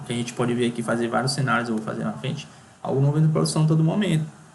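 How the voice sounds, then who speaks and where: A man's voice against noticeable background noise. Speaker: software engineering instructor. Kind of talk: tutorial. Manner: fast; halting.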